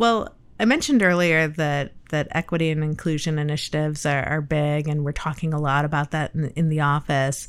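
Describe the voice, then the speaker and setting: A woman's very deep, low voice in a Midwestern American accent, at a fairly quick pace with hardly any pauses. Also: fairly even intonation. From Michigan, US Midwest. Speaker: urban planning agency director. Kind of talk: interview.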